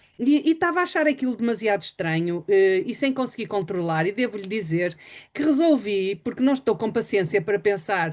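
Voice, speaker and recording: Against a quiet background, a woman of medium pitch talks at a fairly quick pace with very wide pitch swings. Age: 60s. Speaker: webinar host. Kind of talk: interview.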